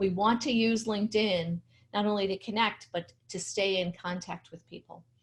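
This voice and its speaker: Using a normal speaking voice, a woman talks at a moderate pace and medium pitch, with fairly even intonation against a quiet background. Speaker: LinkedIn strategy trainer. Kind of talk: webinar presentation. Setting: video webinar with screen share.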